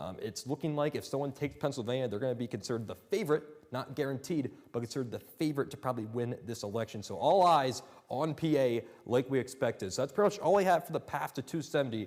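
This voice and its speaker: A man with a medium pitch talks at a very fast pace with lively intonation. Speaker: student news anchor. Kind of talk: election night map analysis, semi-improvised. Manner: conversational, some hesitations.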